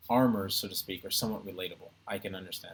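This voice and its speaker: This is a man speaking. He has an American accent. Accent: American accent, deliberately flattened. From United States. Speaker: entertainer and online streamer. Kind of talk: casual live stream Q&A. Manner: hesitant, many fillers.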